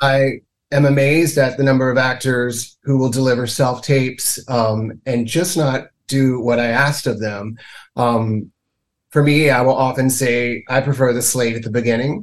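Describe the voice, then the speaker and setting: Speaking with an American accent, a man has an unremarkable speaking voice at a medium pitch, with fairly even intonation and a moderate pace. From US South, Mississippi. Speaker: casting director. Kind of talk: interview.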